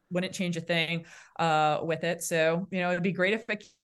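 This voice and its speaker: A woman with a Boston accent talks at a fairly quick pace in a fairly low voice. Her intonation stays fairly even against a quiet background. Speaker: naval aviator officer. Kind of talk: casual interview.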